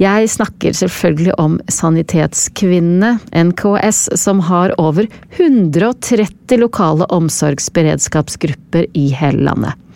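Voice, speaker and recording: Over noticeable background noise, a woman speaks at a very slow pace and a fairly low pitch, with ordinary pitch variation, very even loudness and hardly any pauses. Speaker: podcast host. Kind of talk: scripted narration.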